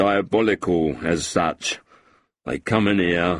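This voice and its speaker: A man uses a put-on character voice, raspy and very deep, at a fairly slow pace. The recording is very clean, with a silent background. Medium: read story. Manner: coarse, swaggering.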